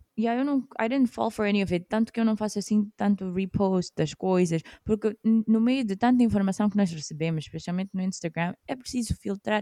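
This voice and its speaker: A woman talks at a fairly quick pace with ordinary pitch variation and a dark, mellow tone. The sound is dry and close, with no echo. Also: medium pitch for a woman, very clean recording, silent background. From Mozambique. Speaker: podcast co-host. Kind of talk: casual chat. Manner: code-switching Portuguese and English.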